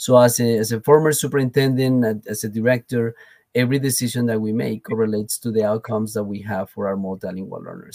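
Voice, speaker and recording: This man speaks with a Colombian accent at a fairly quick pace, with medium pitch and ordinary pitch variation. His tone is dark and mellow, and the sound is dry and close with no echo. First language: Spanish. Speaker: education professor and former superintendent. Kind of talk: interview.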